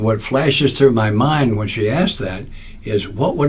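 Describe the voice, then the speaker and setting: Speech at a moderate pace with ordinary pitch variation comes through noticeable background noise and audible room echo. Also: man. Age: 80s+. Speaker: recovery speaker and author. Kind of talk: podcast interview storytelling. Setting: studio.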